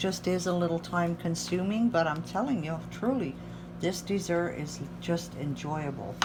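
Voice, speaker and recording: There is audible room echo in this recording. A woman speaks at a fairly slow pace. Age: 60s. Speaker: home cook. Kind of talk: cooking tutorial. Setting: home kitchen.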